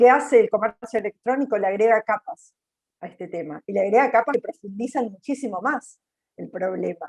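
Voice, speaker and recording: An ordinary speaking voice from a woman, fairly high in pitch and fairly quick, with lively intonation, big swings in loudness and a dry, close sound with no echo. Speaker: panelist from a job training institute. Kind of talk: webinar panel commentary.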